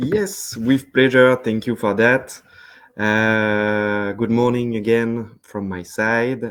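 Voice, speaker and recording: A man with a French accent, speaking at a very slow pace with fairly even intonation. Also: medium pitch for a man. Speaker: sales representative. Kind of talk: webinar presentation. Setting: online webinar. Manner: hesitant, many fillers.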